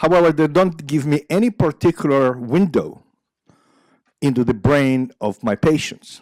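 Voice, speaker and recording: Speaking with an Israeli accent, a man has a fairly high pitch and lively intonation at a moderate pace. The sound is dry and close, with no echo. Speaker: psychiatry professor. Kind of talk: lecture. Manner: halting, many fillers.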